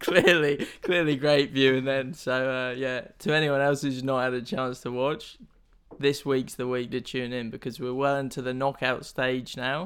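A very clean recording holds this voice over a silent background. Its intonation is fairly even. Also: man, medium pitch for a man. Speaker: podcast host. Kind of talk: guided meditation (mock, comedic). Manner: slow, calm, soothing, in an exaggerated instructor voice; breaks into laughter.

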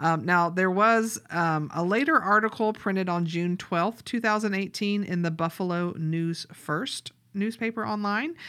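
A woman with a Southern US accent, her tone bright and sharp, hardly any pauses, on a very clean recording with a silent background. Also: medium pitch for a woman, ordinary pitch variation, fairly slow pace. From US South. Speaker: podcast co-host and grant writer. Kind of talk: casual chat.

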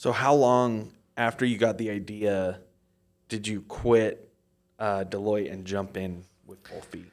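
On a very clean recording with a silent background, a man with a fairly low pitch and fairly even intonation speaks at a fairly slow pace, with big swings in loudness and long, frequent pauses. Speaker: podcast co-host. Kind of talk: interview. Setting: studio.

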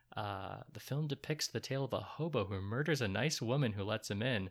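In a normal speaking voice, a man talks at a fairly quick pace with medium pitch and ordinary pitch variation on a very clean recording with a silent background. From US Midwest (Troy, Michigan). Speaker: podcast co-host. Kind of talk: casual chat.

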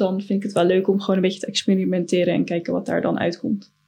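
A woman's medium-pitched voice with vocal fry and fairly even intonation. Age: 20s. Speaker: design student. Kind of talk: casual chat.

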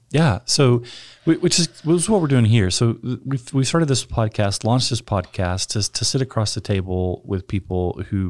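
The speaker is a man. He talks with a West Texas accent. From rural West Texas. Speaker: podcast host, church pastor. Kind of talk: casual chat.

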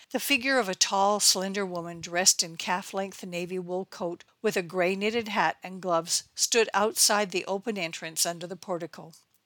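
In an ordinary speaking voice, a woman talks at a moderate pace and a medium pitch with fairly even intonation and big swings in loudness, the sound dry and close with no echo. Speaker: novelist reading her own book. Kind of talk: literary audiobook reading of her own novel chapter. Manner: narrative, measured pace with shifts into character dialogue.

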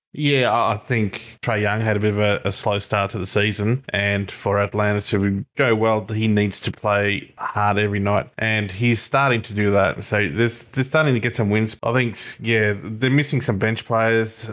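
A man with an Australian accent talks at a moderate pace with fairly low pitch, fairly even intonation and hardly any pauses. The recording is very clean, with a silent background. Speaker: podcast co-host. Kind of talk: casual chat.

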